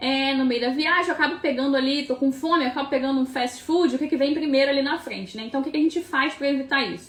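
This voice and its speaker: The woman's pitch is high. Her pace is fairly quick. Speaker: nutritionist. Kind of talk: live stream Q&A tutorial. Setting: live stream. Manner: fast; casual, filler-heavy.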